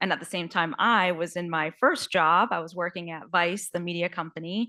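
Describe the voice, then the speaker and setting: A woman's fairly low voice with a bright, sharp tone and an American accent, at a moderate pace, in a very clean recording with a silent background. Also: fairly even intonation. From US Northeast, New York. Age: 30s. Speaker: panelist, business development leader. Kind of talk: panel discussion.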